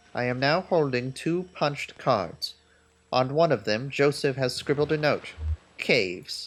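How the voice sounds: The clip presents a natural reading voice.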